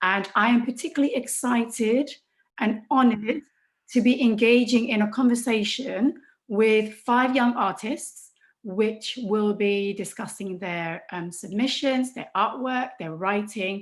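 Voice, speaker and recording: A woman speaks fairly slowly at a fairly high pitch. Her voice is somewhat breathy, with ordinary pitch variation. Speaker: event presenter and radio host. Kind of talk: live event hosting.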